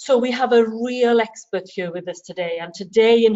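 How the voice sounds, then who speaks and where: A woman with a Welsh accent speaks at a medium pitch with ordinary pitch variation. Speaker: event chair introducing speaker. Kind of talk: speaker introduction.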